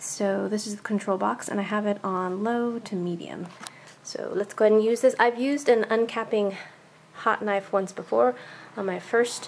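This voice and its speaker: A woman talks at a moderate pace over light background noise. Her pitch varies in an ordinary way. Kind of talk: tutorial vlog. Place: home room. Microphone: phone near.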